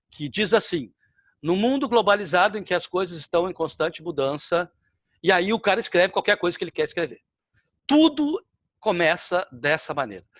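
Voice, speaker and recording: With lively intonation and a high pitch, a man speaks at a moderate pace with long, frequent pauses, in a dry, close sound with no echo. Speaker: lecturer. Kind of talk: lecture.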